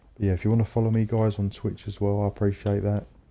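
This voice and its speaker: A man speaks in a fairly low, dark, mellow voice with a monotone, flat intonation. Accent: English. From England. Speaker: gaming streamer. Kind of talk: casual chat. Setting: livestream.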